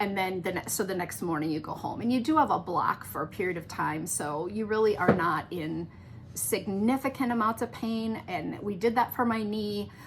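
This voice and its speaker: Lively intonation marks speech delivered at a moderate pace. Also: woman, medium pitch for a woman. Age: 60s. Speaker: knitting podcast host. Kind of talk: casual chat. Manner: halting.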